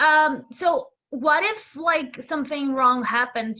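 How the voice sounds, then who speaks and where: A woman's bright, sharp tone comes through as she talks at a fairly slow pace. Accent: non-native. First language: not English. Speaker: student audience member. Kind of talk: Q&A question. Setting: video call. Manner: halting.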